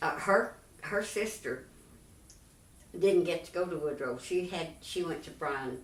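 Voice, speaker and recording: Long, frequent pauses break up this woman's speech. She talks at a fairly slow pace with a Texan accent. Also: ordinary pitch variation. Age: 80s+. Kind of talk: interview answer.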